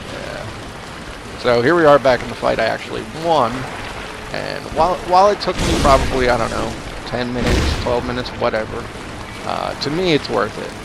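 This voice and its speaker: A man's medium-pitched voice in a relaxed tone, with lively intonation at a moderate pace, plus audible room echo and noticeable background noise. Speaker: gaming video creator. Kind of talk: gameplay commentary. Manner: casual, relaxed.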